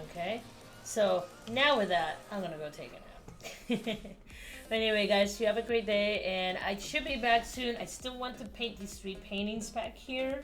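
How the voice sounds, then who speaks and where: Audible room echo and noticeable background noise around moderately paced speech with ordinary pitch variation. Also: woman, fairly high pitch for a woman. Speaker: illustrator. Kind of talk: live-stream art commentary. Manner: soft-spoken; casual.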